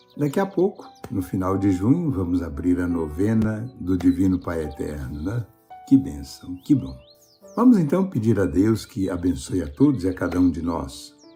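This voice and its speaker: With music in the background, a man with a very deep, low pitch talks at a moderate pace using lively intonation. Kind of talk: homily, casual talk.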